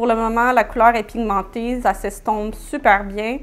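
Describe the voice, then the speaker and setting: A woman's voice in a Quebec accent, with ordinary pitch variation. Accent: Québécois French. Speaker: beauty YouTuber. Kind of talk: makeup tutorial and product review. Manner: animated.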